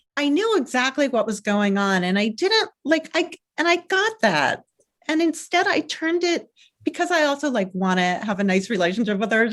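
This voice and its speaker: Her loudness held very even, a woman with a high pitch speaks at a moderate pace with very wide pitch swings. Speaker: parenting coach and author. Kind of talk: interview. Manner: calm.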